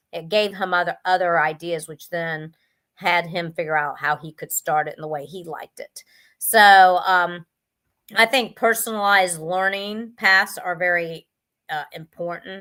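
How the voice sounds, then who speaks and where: On a very clean recording with a silent background, a woman with a bright, sharp tone and fairly low pitch speaks at a fairly slow pace, her intonation fairly even but her loudness swinging widely. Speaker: education business founder and tutor. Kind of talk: live stream talk. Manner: halting, many fillers.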